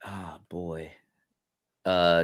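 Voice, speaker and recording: The background is silent in a very clean recording. In it, a man talks. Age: 30s. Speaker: tattoo artist. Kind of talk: casual chat.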